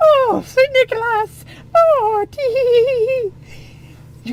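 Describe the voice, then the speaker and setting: Using a put-on character voice, the speaker talks at a very slow pace in an extremely high, squeaky pitch with ordinary pitch variation, against light background noise. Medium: read story. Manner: prim, affected.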